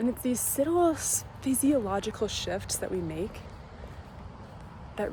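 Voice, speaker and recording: A soft-spoken woman at a fairly slow pace with lively intonation. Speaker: lifestyle vlogger. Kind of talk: vlog monologue. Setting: outdoors.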